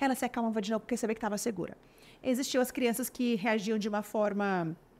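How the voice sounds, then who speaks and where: A woman at a very fast pace, fairly high in pitch, with ordinary pitch variation. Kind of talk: interview on parenting.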